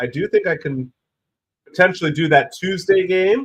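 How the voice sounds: A raspy man's voice at medium pitch, with big pitch swings.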